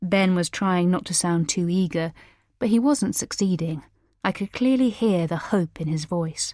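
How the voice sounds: A natural reading voice shows ordinary pitch variation over a quiet background.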